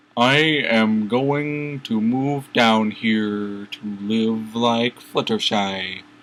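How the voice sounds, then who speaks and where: In a put-on character voice at a medium pitch, a man speaks very slowly, with hardly any pauses. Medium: read story.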